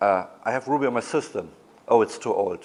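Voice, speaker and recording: A man talks with a German accent. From Germany. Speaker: conference speaker. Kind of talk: conference talk. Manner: halting, many fillers.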